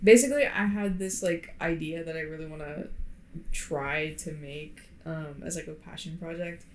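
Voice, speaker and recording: In an American accent, a woman with a fairly low pitch speaks at a moderate pace with ordinary pitch variation and big swings in loudness, amid audible room echo. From Florida. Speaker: podcast co-host. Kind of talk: casual chat. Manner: hesitant, many fillers. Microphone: poor podcast mic.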